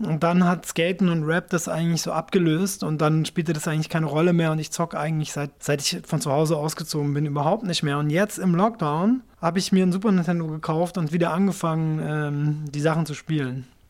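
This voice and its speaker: With an ordinary speaking voice, the speaker goes at a fairly quick pace with hardly any pauses and fairly even intonation. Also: man, fairly high pitch for a man. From Japan, then Swabia from age 11. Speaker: rapper. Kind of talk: interview.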